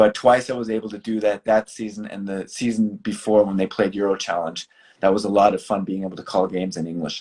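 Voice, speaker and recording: In a Boston accent, a man with a fairly low pitch talks at a very fast pace, with fairly even intonation and big swings in loudness. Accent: American, Boston. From US Northeast, Boston. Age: 50s. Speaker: basketball broadcaster. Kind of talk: interview.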